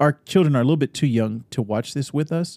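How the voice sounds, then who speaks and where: A man with an American accent and a fairly high voice speaks with lively intonation, recorded dry and close with no echo against a silent background in a very clean recording. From Northern California. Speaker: podcast co-host. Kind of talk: casual chat. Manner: animated.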